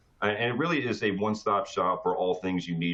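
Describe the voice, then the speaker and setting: A man is speaking. His pace is fairly quick. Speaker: cybersecurity product presenter. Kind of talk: webinar product presentation. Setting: online webinar. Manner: fast.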